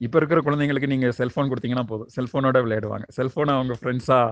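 Speaking in an unremarkable speaking voice, a man keeps to a medium pitch. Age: 40s. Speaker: spiritual teacher. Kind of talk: spiritual book discussion. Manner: casual.

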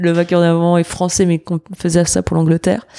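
A woman speaks in a flat monotone with a fairly low pitch and a dark, mellow tone, the sound dry and close with no echo. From western France, Angers (Pays de la Loire). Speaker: sommelier and restaurant partner. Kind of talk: interview.

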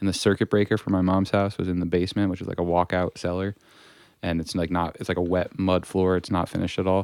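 A man talks very fast in a very deep, low, monotone voice with flat intonation. The recording is very clean with a silent background. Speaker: podcast guest. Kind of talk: casual chat.

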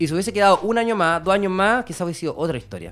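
The speaker is a man. He talks with a Chilean accent. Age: 30s. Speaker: rapper. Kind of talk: interview.

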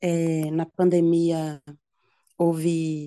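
Dry and close with no echo, a woman's voice has a fairly low pitch and a dark, mellow tone. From Minas Gerais, Belo Horizonte. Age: 30s. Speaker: braiding entrepreneur and former prisoner. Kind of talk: interview.

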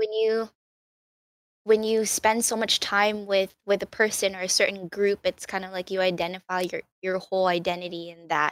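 With an American accent, a woman speaks at a moderate pace and medium pitch in a flat monotone, her loudness swinging widely in a dry, close sound with no echo. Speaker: streamer and friend of host. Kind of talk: casual chat. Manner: halting, many filler words.

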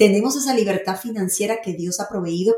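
In a fairly high pitch, a woman talks with an animated tone and ordinary pitch variation. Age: 50s. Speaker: podcast host and faith-based life coach. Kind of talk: monologue.

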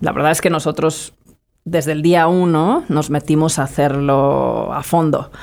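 A woman with a very deep, low voice speaks at a fairly slow pace in a monotone, flat intonation. The recording is very clean, with a silent background. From Spain, Madrid. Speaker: entrepreneur. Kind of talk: interview.

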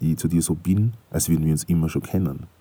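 A man's voice has a very deep, low pitch and a dark, mellow tone. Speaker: podcaster. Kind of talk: casual monologue. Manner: halting, many fillers.

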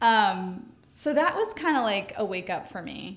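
A fairly high female voice with audible room echo. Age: 30s. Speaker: stay-at-home mom, gym member. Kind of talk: casual interview.

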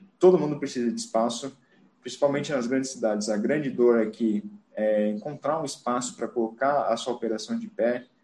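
This is a man speaking at a medium pitch. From Brazil, Santa Catarina (Joinville). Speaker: bicycle parking entrepreneur. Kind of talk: presentation talk. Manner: halting, many fillers.

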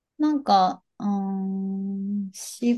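The woman's voice has a dark, mellow tone at a medium pitch. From Hokkaido, Hakodate. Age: 30s. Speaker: company staff editor and writer. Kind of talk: interview conversation. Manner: halting.

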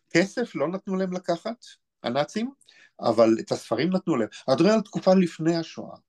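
High in pitch, a man's voice makes very wide pitch swings at a moderate pace. The sound is dry and close, with no echo. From Israel, Be'er Sheva. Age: 60s. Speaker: author and historian. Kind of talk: interview.

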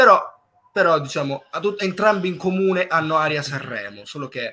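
A man speaks at a moderate pace in an unremarkable speaking voice, his pitch varying in an ordinary way. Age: young. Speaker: singer-songwriter. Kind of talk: interview. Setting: live stream.

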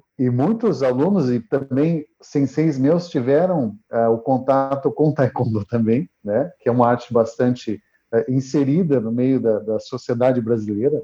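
The man talks at a fairly slow pace, with hardly any pauses. His pitch is medium. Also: ordinary pitch variation. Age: 40s. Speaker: martial arts instructor. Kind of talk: interview. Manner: halting, with many repeated words.

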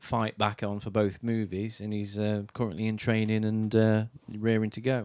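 The pace is moderate. The intonation is monotone and flat. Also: man. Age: 40s. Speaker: podcast guest, Superman fan and cosplayer. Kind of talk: casual chat.

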